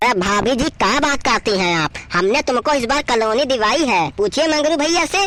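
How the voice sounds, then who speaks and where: In a cartoonish character voice, a man speaks at an extremely high pitch, raised and projected. His pace is moderate. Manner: boastful, smooth.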